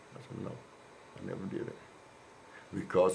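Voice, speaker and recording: A man with an American accent speaks in a dark, mellow tone. Audible room echo surrounds his voice. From Oakland, California. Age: 70s. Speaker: former prisoner. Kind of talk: interview. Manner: halting, repeats words.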